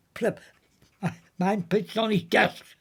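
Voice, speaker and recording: A high-pitched male voice with a strong West Country accent. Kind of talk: anecdotal storytelling.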